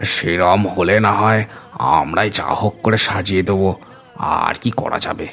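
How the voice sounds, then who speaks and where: In a cartoonish character voice, a man speaks at a moderate pace with fairly low pitch and fairly even intonation. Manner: rustic, colloquial.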